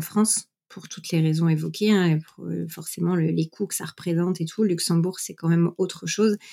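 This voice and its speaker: Talking at a fairly quick pace, a woman with a plain, everyday voice keeps a fairly low pitch and fairly even intonation. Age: 30s. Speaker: mother sharing her story. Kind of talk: interview testimony.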